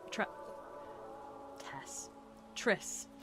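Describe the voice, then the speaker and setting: A woman speaks with music in the background. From England, Devon. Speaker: game developer. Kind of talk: casual live stream chat. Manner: chatty, animated.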